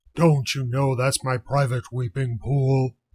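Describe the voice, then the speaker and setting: Putting on a character voice, a man speaks at a fairly slow pace in a medium pitch. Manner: angry.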